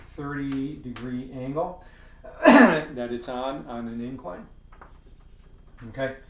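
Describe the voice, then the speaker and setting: A man talks with fairly even intonation, his voice carrying audible room echo. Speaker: physics teacher. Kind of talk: tutorial. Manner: casual, with fillers.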